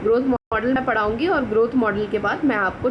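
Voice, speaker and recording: A woman's fairly high voice at a moderate pace, with audible room echo. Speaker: biology teacher. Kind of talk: lecture. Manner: code-switching Hindi and English.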